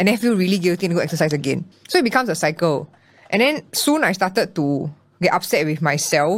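Speech comes at a very fast pace in a Singaporean accent, with lively intonation and an animated tone. Loudness stays very even, and the recording is very clean with a silent background. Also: woman, fairly low pitch for a woman. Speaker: content creator and body positivity founder. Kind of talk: interview.

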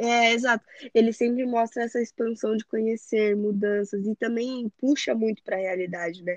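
A woman speaks in a normal speaking voice at a fairly high pitch. She keeps a moderate pace and fairly even intonation. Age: 20s. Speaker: photographer and digital influencer. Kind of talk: casual chat.

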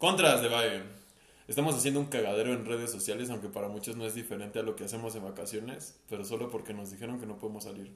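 Amid noticeable background noise and audible room echo, a man with a Mexican accent talks at a very fast pace with a medium pitch and ordinary pitch variation. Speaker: podcast co-host. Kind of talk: casual chat.

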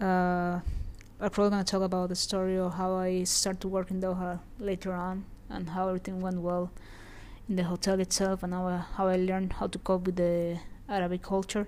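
Speaking at a fairly quick pace, a woman keeps a medium pitch in a monotone, flat intonation. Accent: Spanish. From Venezuela. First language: Spanish. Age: 20s. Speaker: hotelier and podcast host. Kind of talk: personal storytelling monologue. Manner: fast; hesitant, many fillers.

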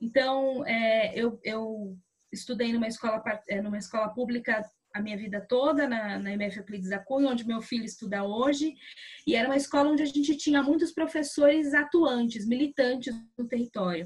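The clip has an unremarkable speaking voice. It moves at a moderate pace. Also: woman, fairly high pitch for a woman, ordinary pitch variation. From São Paulo, Brazil (south zone, Capão Redondo). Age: 30s. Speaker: journalist and activist. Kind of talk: interview. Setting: remote recording from home.

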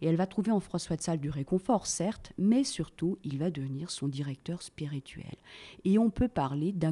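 Dry and close with no echo, a woman's dark, mellow voice sits at a fairly low pitch, moving fairly slowly with lively intonation. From Annecy, Haute-Savoie, France. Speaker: tour guide. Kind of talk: interview. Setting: tourist office. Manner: hesitant fillers (euh, bah, hein).

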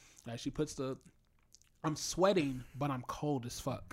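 On a very clean recording with a silent background, a normal speaking voice talks with fairly even intonation. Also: man. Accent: American. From US Midwest, Chicago South Side. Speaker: rapper. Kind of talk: casual chat.

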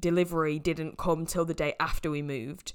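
A woman speaks in a northern English accent. The recording is very clean, with a silent background. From northwest England. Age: 20s. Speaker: podcast host, fitness coach. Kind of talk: casual solo podcast monologue.

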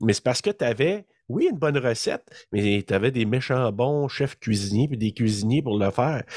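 This man speaks with a Quebec accent at medium pitch and a moderate pace, his intonation lively, the sound dry and close with no echo. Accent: Québécois French. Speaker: horror podcast co-host. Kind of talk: casual chat.

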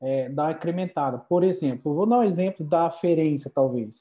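Over a quiet background, a man speaks with ordinary pitch variation and a dark, mellow tone. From Brazil, Paraná. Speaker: osteopath. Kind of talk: casual chat. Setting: video call.

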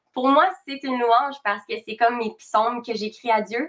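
A woman talks in a normal speaking voice at a moderate pace, her pitch fairly high with ordinary variation. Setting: live stream.

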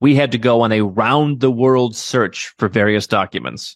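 A man with an American accent in an ordinary speaking voice, moderate in pace with ordinary pitch variation, dry, close sound with no echo, and a very clean recording with a silent background. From US Midwest. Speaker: entrepreneur advising on second passports and relocation. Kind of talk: interview.

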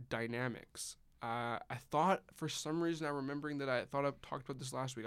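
A man speaks at a fairly quick pace in an unremarkable speaking voice. His intonation stays fairly even. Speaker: engineering student podcast co-host. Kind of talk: casual chat.

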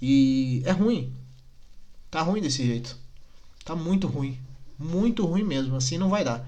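At a fairly slow pace, with long, frequent pauses and audible room echo, the voice is somewhat breathy, dark and mellow in tone, with lively intonation. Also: man, fairly high pitch for a man. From Rio Grande do Sul, Brazil (Nova Petrópolis). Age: 20s. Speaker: podcaster. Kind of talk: casual monologue rant. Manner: animated, indignant.

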